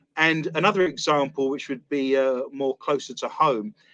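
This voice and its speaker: A British accent at a moderate pace, ordinary pitch variation, and a dry, close sound with no echo. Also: man. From London, England (East London). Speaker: paranormal investigator and author. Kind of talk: interview. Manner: talkative.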